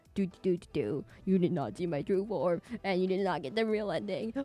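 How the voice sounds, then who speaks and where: A put-on character voice at a middle pitch. It moves at a moderate pace. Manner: ominous.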